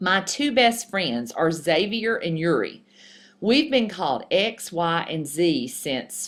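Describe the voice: The text is read aloud plainly. The intonation is lively.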